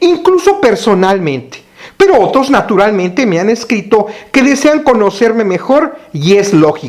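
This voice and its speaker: With a Mexican accent and high pitch, a man talks at a fairly slow pace with very wide pitch swings over noticeable background noise. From Mexico. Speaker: pastor. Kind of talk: recorded teaching.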